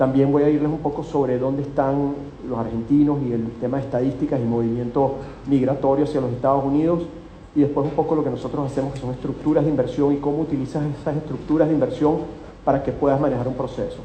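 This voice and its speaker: Very fast, monotone, flat speech in a Venezuelan accent, with audible room echo and noticeable background noise. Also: man, fairly high pitch for a man. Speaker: company executive presenting at investment seminar. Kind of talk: live seminar talk. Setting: hotel event with live audience.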